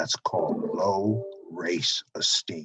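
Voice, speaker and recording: The man's voice comes through dry and close, with no echo. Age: 70s. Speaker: motivational speaker. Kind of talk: motivational talk.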